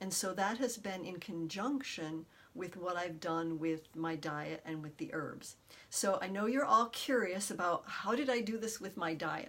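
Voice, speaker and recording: A woman with an unremarkable speaking voice talks at a moderate pace and medium pitch. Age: 60s. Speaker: detox specialist. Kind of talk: personal testimony. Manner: warm.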